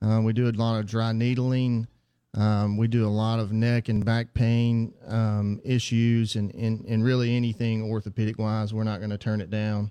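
With a dark, mellow tone and flat, monotone intonation, this man talks at a medium pitch on a very clean recording with a silent background. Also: moderate pace. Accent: Southern US. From Mississippi. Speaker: physical therapist. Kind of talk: radio interview. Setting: studio. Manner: halting, many fillers.

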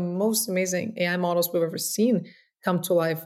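In a Russian accent, a woman talks at a moderate pace and medium pitch, with ordinary pitch variation. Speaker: tech startup founder and CEO. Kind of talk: podcast interview.

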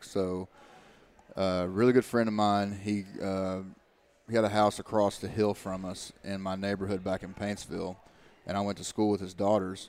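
In an Appalachian accent, a man speaks at a fairly low pitch with monotone, flat intonation. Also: moderate pace. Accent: Appalachian Kentucky. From Eastern Kentucky. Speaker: former college football player. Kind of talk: casual chat.

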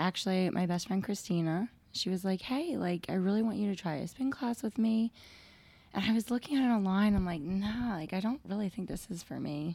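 A somewhat breathy, dark, mellow voice with a nervous tone, fairly quick pace and ordinary pitch variation. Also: woman, medium pitch for a woman. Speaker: spin studio manager. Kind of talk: casual chat.

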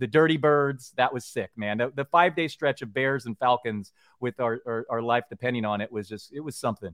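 A man with a plain, everyday voice talks fairly quickly at a medium pitch, with ordinary pitch variation. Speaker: sports writer and podcaster. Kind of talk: casual chat about football survivor pools. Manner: casual, conversational.

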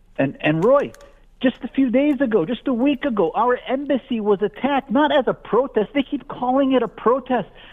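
Extremely high in pitch, a man talks with an American accent at a moderate pace. His pitch variation is ordinary. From US, Syrian family. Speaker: physician and activist author. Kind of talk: interview. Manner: animated.

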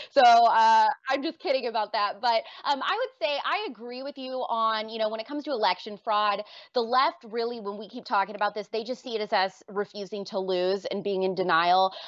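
Moving at a fairly quick pace, a woman's voice shows ordinary pitch variation. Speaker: political commentator. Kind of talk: casual debate.

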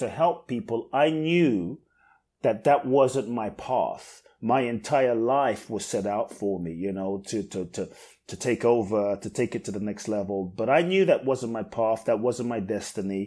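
A man speaks at a medium pitch and a moderate pace, with a dark, mellow tone and lively intonation. The recording is very clean, with a silent background. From London, England. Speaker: inspirational speaker. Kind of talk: podcast interview.

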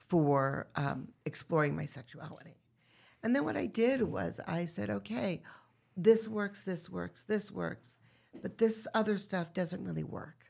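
Her fairly low voice carries vocal fry and very wide pitch swings as this woman speaks at a fairly slow pace. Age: 50s. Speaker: retreat founder and women's activist. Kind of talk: casual chat.

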